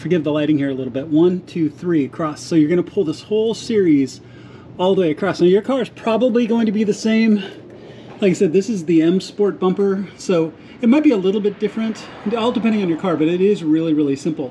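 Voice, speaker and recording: A man with a high voice speaks at a very fast pace amid light background noise. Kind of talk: tutorial. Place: garage. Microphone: phone near.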